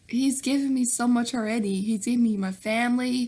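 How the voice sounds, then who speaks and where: With a Southern US accent, a woman speaks in a high pitch. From US South, Nashville, Tennessee. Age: 20s. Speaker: YouTuber. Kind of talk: Q&A vlog. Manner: animated.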